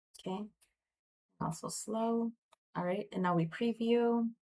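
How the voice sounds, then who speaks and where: Soft-spoken and somewhat breathy, a woman talks with ordinary pitch variation over light background noise. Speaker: online tutorial creator; tutorial host. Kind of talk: tutorial. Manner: casual, hesitant with fillers. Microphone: webcam.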